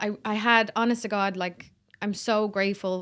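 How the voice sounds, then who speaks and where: This woman talks in a Dublin accent at a moderate pace. Her pitch sits in the medium range. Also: very clean recording, silent background. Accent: Dublin Irish. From Ireland, Dublin (Swords). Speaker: singer-songwriter. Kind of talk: podcast interview. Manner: animated, chatty.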